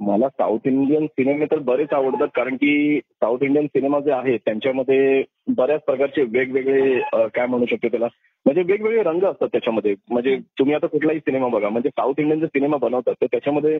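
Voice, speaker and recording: Pitched fairly high, a man speaks in an ordinary speaking voice with ordinary pitch variation and very even loudness. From Mumbai, Maharashtra. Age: 40s. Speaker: dubbing artist. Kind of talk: interview.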